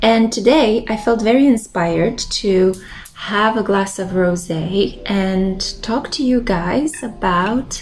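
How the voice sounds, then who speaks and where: Speaking very slowly with a Romanian accent, a woman keeps a medium pitch and ordinary pitch variation over noticeable background noise. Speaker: tarot reader and lifestyle vlogger. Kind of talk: casual monologue vlog. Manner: relaxed, meandering.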